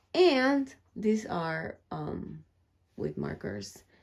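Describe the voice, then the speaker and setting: At a very slow pace, a woman talks with a non-native accent. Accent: foreign. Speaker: crafter and YouTuber. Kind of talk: studio tour vlog. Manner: soft-spoken; halting, many fillers.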